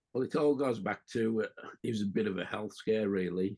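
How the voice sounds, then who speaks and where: With an English accent, a man speaks at a moderate pace in a dark, mellow tone. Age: 60s. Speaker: allotment gardener, YouTuber. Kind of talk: casual chat. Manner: halting.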